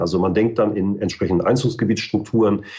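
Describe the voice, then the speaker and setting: This speaker has a northern German accent. Pitch variation is ordinary. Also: man. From northern Germany, Mecklenburg-Western Pomerania. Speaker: ecology research institute director. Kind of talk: expert interview.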